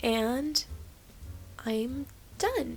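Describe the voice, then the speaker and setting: Music in the background accompanies a woman as she talks. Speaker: digital artist. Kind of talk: casual voice-over for art video.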